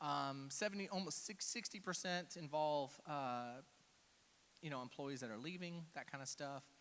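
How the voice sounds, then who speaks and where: A man talks with a Texan accent in a fairly high voice. His tone is animated. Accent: Texan American. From Texas (Houston). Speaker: cybersecurity speaker. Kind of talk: conference talk. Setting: stage with audience. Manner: casual, animated.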